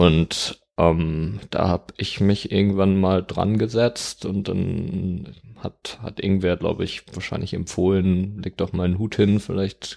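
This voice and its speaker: Speaking in a monotone, flat intonation, a man with a very deep, low pitch goes at a fairly slow pace. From Germany, Dortmund (Ruhr area). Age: 20s. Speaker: student and street pianist. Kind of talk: casual interview.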